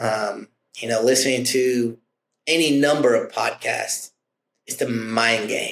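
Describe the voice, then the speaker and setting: At a medium pitch, a man speaks at a fairly slow pace with long, frequent pauses. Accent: American. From Oklahoma. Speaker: insurance producer. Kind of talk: casual interview. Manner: loud; animated.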